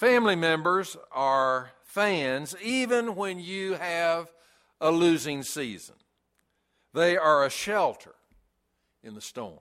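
A man with a high pitch and a bright, sharp tone talks at a very slow pace, using lively intonation, big swings in loudness, and long, frequent pauses. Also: very clean recording, silent background. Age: 70s. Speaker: pastor. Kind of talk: sermon. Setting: church.

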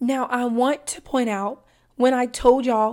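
Here a woman talks in a high voice. Her intonation is fairly even and her pace fairly slow. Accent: Southern US. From US Deep South. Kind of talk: religious teaching monologue.

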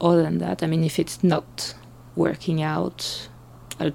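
A woman with a French accent has a very deep, low pitch, a dark, mellow tone and vocal fry. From France. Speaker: blogger. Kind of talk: casual interview.

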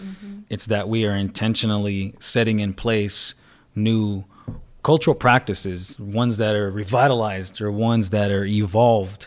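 This man has a plain, everyday voice with an American accent, a fairly low pitch, a moderate pace and fairly even intonation. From Arizona, Salt River area. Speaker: wellness advocate. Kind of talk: casual interview.

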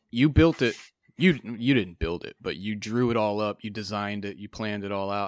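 On a very clean recording with a silent background, a man speaks at a moderate pace in a normal speaking voice. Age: 30s. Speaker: podcast host, mechanic. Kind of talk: casual chat.

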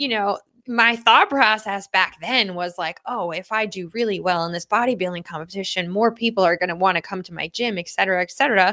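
In a very clean recording with a silent background, a woman speaks fast with hardly any pauses, at a medium pitch with ordinary variation, in a bright, sharp tone with big swings in loudness. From Long Island, New York. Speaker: fitness coach and podcast host. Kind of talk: solo podcast monologue. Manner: casual, filler-heavy.

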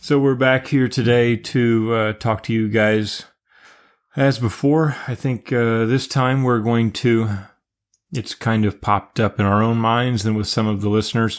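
Speaking with an American accent, a man uses a medium pitch and fairly even intonation. His pace is fairly slow, and he has an unremarkable speaking voice. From United States. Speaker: podcast co-host. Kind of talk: casual chat.

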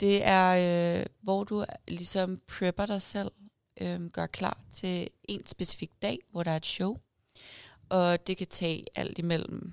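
A woman speaks very slowly at a fairly low pitch with monotone, flat intonation on a very clean recording with a silent background. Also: dry, close sound with no echo. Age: 20s. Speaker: bikini fitness athlete and online coach. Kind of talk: casual interview. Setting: event room at a restaurant.

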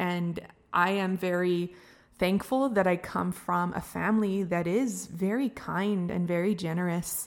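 At a fairly slow pace, a woman talks at medium pitch with fairly even intonation in a very clean recording with a silent background. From Northern Ontario First Nations reserve, Canada. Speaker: podcast host, educator. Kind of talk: casual monologue.

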